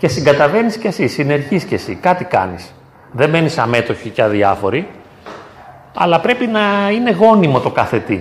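Long, frequent pauses break up a man's moderate-paced speech, his fairly high pitch swinging very widely. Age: 50s. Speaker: psychologist. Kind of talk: talk and discussion with parish youth. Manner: halting.

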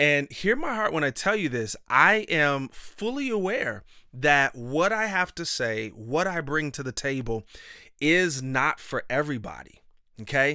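A man talks at a fairly slow pace in a fairly high, bright, sharp voice with very wide pitch swings and an animated tone. The recording is very clean, with a silent background. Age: 30s. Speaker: podcast host and life coach. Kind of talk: motivational monologue.

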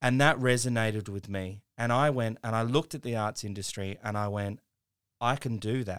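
A man with an Australian accent and fairly even intonation, on a very clean recording with a silent background. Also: medium pitch for a man, moderate pace. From regional South Australia (Mount Gambier). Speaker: former actor turned tech entrepreneur. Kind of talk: radio interview.

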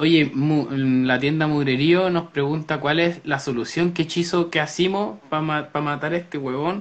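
With a Chilean accent, a man speaks at a fairly slow pace and a fairly high pitch, his intonation fairly even and hardly any pauses. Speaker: podcast co-host. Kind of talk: casual chat. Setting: live stream.

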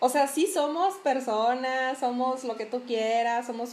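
Here a woman speaks with a high pitch. She goes at a fairly slow pace. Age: 30s. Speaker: podcast host. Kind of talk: casual chat.

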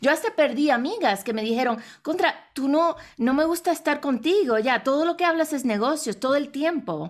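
The recording is very clean, with a silent background. A woman with a high pitch talks at a moderate pace and lively intonation. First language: English (speaking Spanish). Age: 40s. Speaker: international speaker and businesswoman. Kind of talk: interview. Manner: halting.

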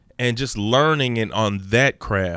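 A man talks in an ordinary speaking voice at a moderate pace with ordinary pitch variation, the recording very clean with a silent background and a dry, close sound with no echo. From Texas, Dallas area (moved from Los Angeles as a small child). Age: 30s. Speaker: podcast guest, public speaker. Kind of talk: casual chat.

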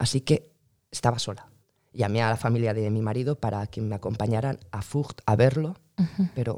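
At a moderate pace, a woman speaks with a very deep, low pitch, ordinary pitch variation, and a dark, mellow tone. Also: very clean recording, silent background. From Spain. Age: 40s. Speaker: immigrant mother. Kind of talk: interview.

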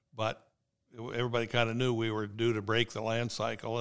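Speaking very fast at a medium pitch, a man with a Midwestern US accent comes through on a very clean recording with a silent background. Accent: rural Midwestern American. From Indiana, Steuben County. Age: 70s. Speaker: farmer. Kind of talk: casual interview. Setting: in person, at the farm office.

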